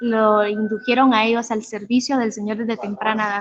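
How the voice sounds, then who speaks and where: A woman with a plain, everyday voice speaks at a fairly high pitch and a moderate pace. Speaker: youth preacher. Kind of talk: sermon. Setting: online livestream.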